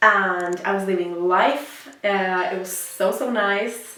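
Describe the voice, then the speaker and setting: In a Swedish accent, a woman with a medium pitch talks amid noticeable background noise and audible room echo. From Sweden. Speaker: fitness influencer and app founder. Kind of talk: casual vlog monologue. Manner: halting, many fillers and restarts.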